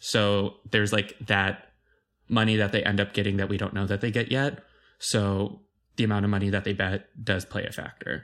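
This man talks in a fairly low pitch with an American accent. His pace is moderate and his intonation is monotone and flat. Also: very clean recording, silent background. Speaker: podcast host. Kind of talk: casual chat.

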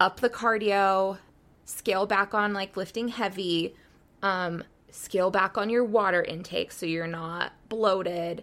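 A woman with an American accent speaks fairly slowly in a plain, everyday voice, medium in pitch, with fairly even intonation. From Utah, US (raised from age eight). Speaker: bodybuilder and new mom. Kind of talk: casual chat.

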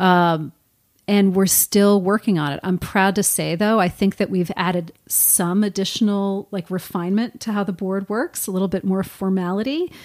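An unremarkable speaking voice from a woman with an American accent, medium in pitch, with fairly even intonation and a moderate pace, in a dry, close recording with no echo, very clean with a silent background. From northern New Jersey. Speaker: retired fashion retail executive. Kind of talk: interview.

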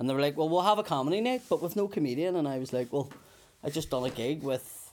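Lively in his intonation, a man with a Belfast accent speaks at a fairly high pitch. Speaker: comedian. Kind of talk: casual chat.

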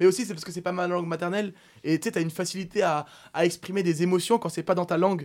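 With a very clean recording and a silent background, a man with a high pitch speaks at a very fast pace using fairly even intonation. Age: 20s. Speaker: professional poker player. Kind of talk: casual chat.

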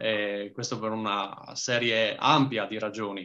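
The man's tone comes across bright and sharp. His voice stays at a medium pitch. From Trieste, Italy. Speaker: history content creator. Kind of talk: casual interview.

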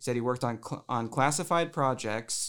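An unremarkable speaking voice from a man of medium pitch at a moderate pace, on a very clean recording with a silent background. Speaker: paranormal investigator. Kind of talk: casual chat.

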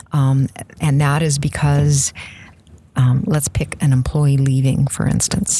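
A woman speaks at a very slow pace with a very deep, low pitch, fairly even intonation, and long, frequent pauses over noticeable background noise. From Saskatchewan, Canada. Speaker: Microsoft MVP, SharePoint consultant. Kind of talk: casual interview.

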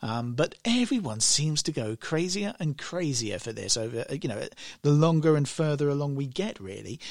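A man with a fairly high voice swings his pitch very widely, captured in a very clean recording against a silent background. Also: moderate pace. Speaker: radio host. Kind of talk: radio DJ patter, chatty and upbeat, introducing songs and station ids. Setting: radio studio. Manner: friendly and casual, chatty, with fillers and self-corrections.

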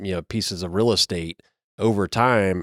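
A man's unremarkable speaking voice with an American accent, fairly low in pitch with fairly even intonation, in a dry, close sound with no echo on a very clean recording with a silent background. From Kentucky, US. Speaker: broadband mapping company representative. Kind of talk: interview conversation. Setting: conference media center.

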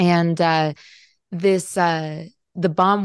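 A woman's plain, everyday voice, fairly low in pitch with fairly even intonation, dry and close with no echo over a quiet background. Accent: General American. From Colombia (Bogota), raised in US. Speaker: travel writer and author. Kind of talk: interview.

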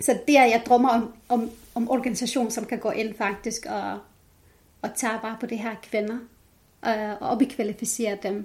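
A woman with an Arabic accent speaks somewhat breathily at a fairly high pitch and fairly slow pace, with fairly even intonation. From Jordan (Palestinian family). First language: Arabic (speaking Danish). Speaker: women's rights activist. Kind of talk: interview.

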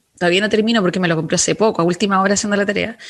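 A woman speaks at medium pitch. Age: 30s. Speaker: radio host and lawyer. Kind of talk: radio talk show. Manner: animated.

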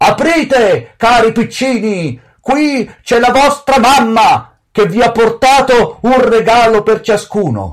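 In a put-on character voice pitched extremely high, a man talks at a fairly slow pace with hardly any pauses. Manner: feigning a mother's voice.

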